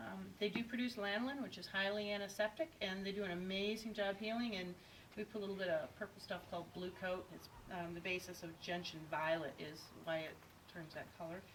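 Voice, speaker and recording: A woman at medium pitch with an American accent, against noticeable background noise. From Indiana, US Midwest. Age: 50s. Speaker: sheep shearer. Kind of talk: demonstration tutorial. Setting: on a farm.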